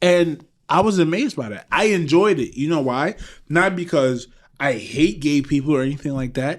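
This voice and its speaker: Moving at a moderate pace, this voice carries an American accent and very wide pitch swings. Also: man. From Trinidad. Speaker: podcast co-host. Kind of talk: casual chat. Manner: animated.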